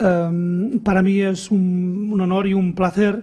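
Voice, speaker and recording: A man with a Catalan accent speaks in a high, dark, mellow voice with monotone, flat intonation. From Catalonia. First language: Catalan (speaking Spanish). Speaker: education professor. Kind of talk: conference lecture. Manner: halting with repetitions.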